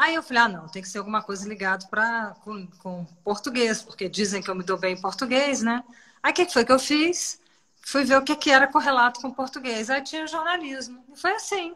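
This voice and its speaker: Speaking at a moderate pace, a woman uses a high pitch with very wide pitch swings and a bright, sharp tone. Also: big swings in loudness. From Brasília, Brazil. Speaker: journalist. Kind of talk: interview.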